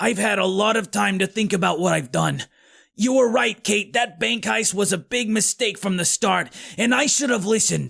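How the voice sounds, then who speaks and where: A man puts on a raspy, high-pitched character voice. The recording is very clean, with a silent background. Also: moderate pace. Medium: read story. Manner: earnest.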